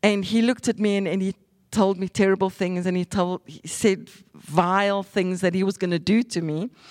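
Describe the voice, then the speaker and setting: With a plain, everyday voice, a woman talks at a moderate pace, sounding dry and close with no echo in a very clean recording with a silent background. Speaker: evangelist preacher. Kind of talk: sermon.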